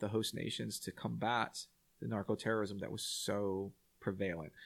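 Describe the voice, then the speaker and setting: A man with a Texan accent at a moderate pace, in a very clean recording with a silent background. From Texas, San Antonio. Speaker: war veteran. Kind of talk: casual chat.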